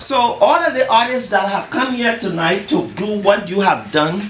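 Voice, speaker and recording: A man with a high pitch and lively intonation speaks at a moderate pace amid noticeable background noise and audible room echo. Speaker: community leader. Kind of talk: public speech at event.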